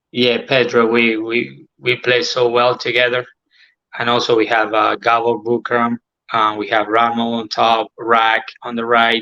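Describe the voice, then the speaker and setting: A man with an Argentine accent speaks slowly-ish at a fairly slow pace, in a medium-pitched, bright, sharp voice with monotone, flat intonation. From Argentina. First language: Spanish. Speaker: former professional footballer. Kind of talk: casual interview. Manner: halting, hesitant non-native English.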